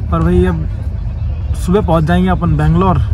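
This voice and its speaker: A man speaks with ordinary pitch variation in a dry, echo-free sound while a crowd murmurs in the background. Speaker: travel vlogger. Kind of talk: casual vlog chat. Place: train. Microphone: phone near.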